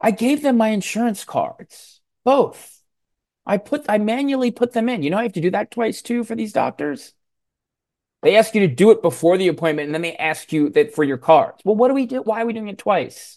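A man speaks in a high voice with an animated tone, his pitch swinging very widely. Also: quiet background. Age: 40s. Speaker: political journalist and podcast host. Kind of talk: solo podcast rant, exasperated personal anecdote. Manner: aggrieved storytelling, fast and incredulous with repeated restarts; animated, self-interrupting, stammering repetitions.

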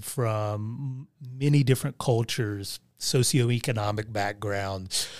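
Very slowly, a man speaks with an American accent and ordinary pitch variation. The recording is very clean, with a silent background. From West Virginia / Southern Ohio. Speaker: life and leadership coach, former pastor. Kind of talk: casual interview.

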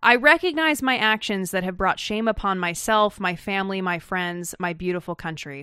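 Barely pausing, a woman speaks at a medium pitch with a bright, sharp tone and lively intonation. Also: moderate pace. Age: 30s. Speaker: podcast co-host. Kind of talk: casual political commentary.

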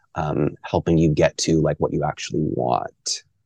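In a quiet background with a dry, close sound and no echo, the voice has a dark, mellow tone and moves at a fairly slow pace. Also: man. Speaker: spiritual practitioner guest. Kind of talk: interview conversation.

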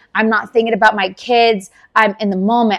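A woman's fairly high voice in a Texan accent. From Texas, Dallas area. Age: 30s. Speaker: therapist and entrepreneur. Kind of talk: casual interview. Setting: video podcast.

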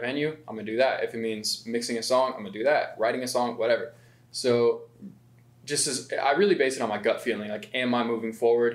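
A man's medium-pitched voice with an American accent at a very fast pace. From Atlanta, US South. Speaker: music producer and artist. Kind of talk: interview conversation. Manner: animated.

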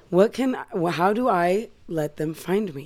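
Speaking with a Californian accent, a woman has a fairly low pitch. She talks at a fairly slow pace. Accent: general American, Californian. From US West Coast, Los Angeles. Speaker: singer. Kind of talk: interview. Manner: animated.

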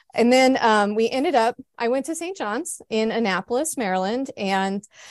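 Speaking in an American accent, a woman uses a fairly high pitch and lively intonation at a moderate pace, in a dry, close sound with no echo and a quiet background. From US Pacific Northwest, Oregon. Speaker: novelist. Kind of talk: interview. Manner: halting.

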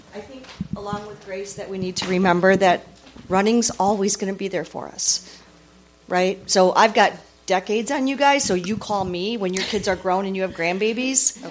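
A woman with an American accent talks over noticeable background noise, her loudness swinging widely. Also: medium pitch for a woman, ordinary pitch variation. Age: 50s. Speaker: retreat attendee. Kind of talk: audience testimony. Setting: stage with audience. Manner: fast.

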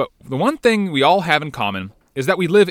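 In a very clean recording with a silent background, a man with a plain, everyday voice talks at a moderate pace with lively intonation. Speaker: podcast host and journalist. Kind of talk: narrated documentary podcast. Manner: casual, wry.

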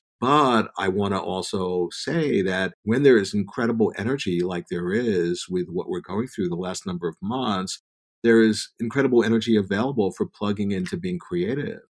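A man with an unremarkable speaking voice, fairly low in pitch with ordinary variation, at a moderate pace with hardly any pauses, on a very clean recording with a silent background. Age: 60s. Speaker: spiritual author and healer. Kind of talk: interview.

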